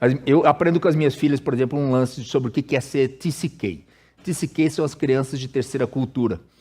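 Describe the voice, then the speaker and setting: A dark, mellow tone with a Brazilian accent at a moderate pace. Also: man. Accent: Brazilian accent noticeable abroad. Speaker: pastor. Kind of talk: sermon. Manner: casual, conversational with hesitations.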